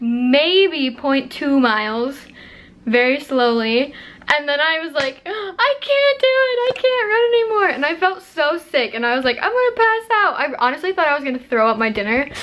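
At a moderate pace, a woman speaks in a high voice. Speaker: vlogger. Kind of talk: casual vlog chat. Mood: amused, storytelling. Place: home room. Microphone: phone near.

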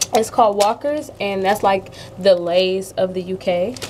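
At a moderate pace, the speaker uses ordinary pitch variation over light background noise. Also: woman. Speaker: food vlogger. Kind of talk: casual vlog chat. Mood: upbeat, chatty. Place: kitchen. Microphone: webcam.

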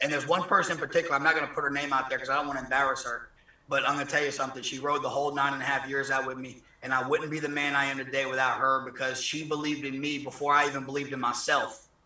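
Amid audible room echo, a man with an American accent speaks very fast at a fairly high pitch in monotone, flat intonation. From southern Mississippi, rural. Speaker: former federal prisoner. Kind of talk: interview; interview answer. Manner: halting. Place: garden. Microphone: video call.

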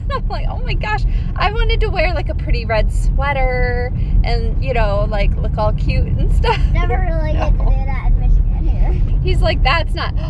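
A woman at a moderate pace, dry with no echo, over loud background noise. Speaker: family vlogger. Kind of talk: casual vlog chat. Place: car. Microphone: phone near.

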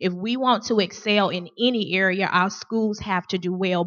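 Her intonation is fairly even. This woman's pitch is medium. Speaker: school board candidate. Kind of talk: candidate forum speech. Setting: forum at a school with audience. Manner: fast.

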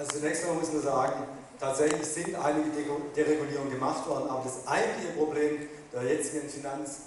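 A man talks at a fairly quick pace with a fairly high pitch. Strong room echo surrounds the voice, and there is light background noise. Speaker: politician. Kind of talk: panel discussion answer. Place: hall.

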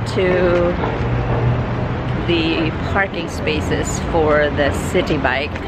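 A woman's very slow speech, dry with no echo, against loud background noise. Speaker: travel vlogger. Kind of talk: casual vlog chat. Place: street. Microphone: phone near.

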